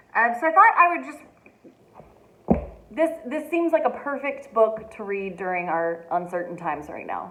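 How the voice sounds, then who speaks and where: A woman with a fairly high pitch speaks with very wide pitch swings, big swings in loudness and long, frequent pauses, with audible room echo and noticeable background noise. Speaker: teacher reading aloud to families. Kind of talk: casual chat. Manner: fast.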